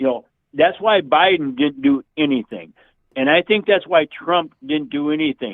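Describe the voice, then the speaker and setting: At a moderate pace, a man with a fairly high voice speaks with lively intonation. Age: 60s. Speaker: caller. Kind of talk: heated debate. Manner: halting.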